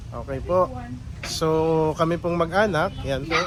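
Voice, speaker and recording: The man's voice sits high in pitch with fairly even intonation. There is noticeable background noise. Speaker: family vlogger. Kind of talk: travel vlog narration.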